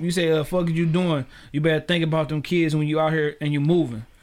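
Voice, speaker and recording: Fairly quick and fairly high in pitch, a man speaks with fairly even intonation in a plain, everyday voice. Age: 30s. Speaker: podcast host. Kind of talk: casual interview chat. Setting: studio.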